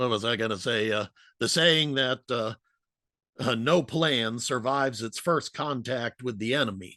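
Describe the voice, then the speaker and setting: Against a quiet background, a man talks at a moderate pace in a medium pitch with ordinary pitch variation and a bright, sharp tone, the sound dry and close with no echo. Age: 60s. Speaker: history podcaster. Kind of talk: conference talk. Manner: halting, many fillers.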